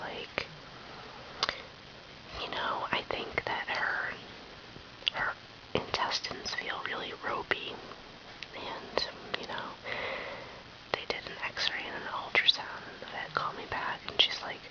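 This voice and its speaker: Whispering at a fairly slow pace with long, frequent pauses, the speaker is heard over noticeable background noise. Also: woman, big swings in loudness. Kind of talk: casual talk to camera. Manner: whispered.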